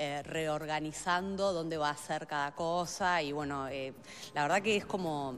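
A woman speaks with a low voice and ordinary pitch variation. Her pace is fairly slow.

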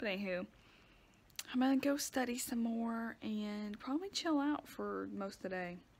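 A woman with a Southern US accent speaks at a moderate pace and a fairly high pitch. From US South. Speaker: vlogger. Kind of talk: casual vlog monologue. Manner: animated. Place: home room. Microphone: phone near.

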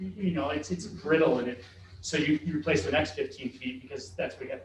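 Room echo is audible and background noise is noticeable as this man talks. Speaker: school facilities consultant. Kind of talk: board work session discussion. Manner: halting, many repeated words.

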